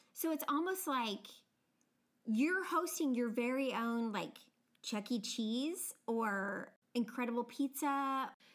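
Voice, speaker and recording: A woman's high voice with a slight American accent, very slow pace, very even loudness and lively intonation. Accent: subtle regional American. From United States. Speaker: podcast host. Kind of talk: casual chat.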